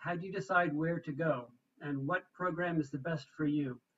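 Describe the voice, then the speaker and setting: Moderate pace over a quiet background. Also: man. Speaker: university international student services staff; presenter. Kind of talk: informational presentation. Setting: video call. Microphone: video call.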